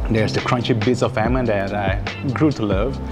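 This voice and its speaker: A man speaks at a moderate pace. Music is clearly heard in the background. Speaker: food vlogger. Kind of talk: casual food review. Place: cafe. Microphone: lapel.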